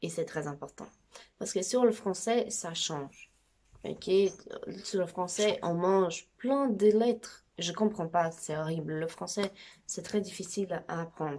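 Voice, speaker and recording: A woman speaks very slowly in a dark, mellow tone. Her pitch is medium, with ordinary variation. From Brazil. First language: Brazilian Portuguese (speaking French). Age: 20s. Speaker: amateur language teacher. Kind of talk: tutorial. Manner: casual, chatty.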